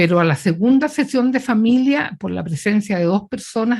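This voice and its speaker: A woman's somewhat breathy voice with a dark, mellow tone, lively intonation and a moderate pace. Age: 70s. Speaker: politician and physician. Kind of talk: interview.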